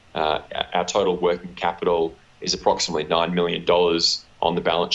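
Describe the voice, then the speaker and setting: This man talks at a moderate pace in a very deep, low pitch. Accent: Australian. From Australia. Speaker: company executive. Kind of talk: interview. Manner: hesitant, many fillers and repeats.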